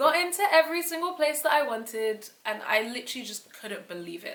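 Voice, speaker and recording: A woman's lively intonation and animated tone at a fairly quick pace, over noticeable background noise. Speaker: YouTuber, aspiring software developer. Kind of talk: casual vlog monologue. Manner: fast.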